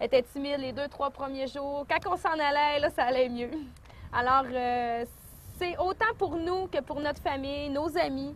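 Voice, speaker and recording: A woman with a Lac-Saint-Jean accent speaks fairly slowly in a high voice, her pitch varying in an ordinary way. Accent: Lac-Saint-Jean Quebec French. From Quebec, Lac-Saint-Jean region. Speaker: returning migrant entrepreneur. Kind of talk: testimony.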